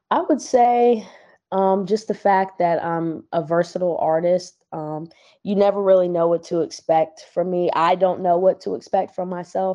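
A plain, everyday voice: a woman with an American accent, fairly low pitched, at a fairly slow pace. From Virginia, US East Coast. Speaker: rapper and singer. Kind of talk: casual interview.

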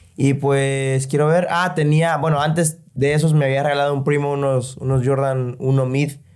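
A man talks at a moderate pace in a plain, everyday voice. His pitch sits fairly high. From El Salvador. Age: 20s. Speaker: sneaker enthusiast guest. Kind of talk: casual chat.

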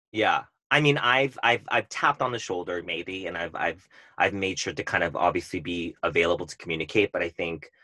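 A man with a Californian accent speaks at a fairly quick pace in a very deep, low voice, his tone bright and sharp, with ordinary pitch variation, and the sound is dry and close with no echo over a quiet background. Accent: Californian American English. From Southern California (Orange County). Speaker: event planner. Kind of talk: casual chat.

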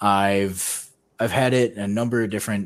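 On a very clean recording with a silent background, a man with a fairly low voice speaks at a moderate pace in a flat, monotone way. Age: 20s. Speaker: podcast co-host. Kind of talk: casual chat.

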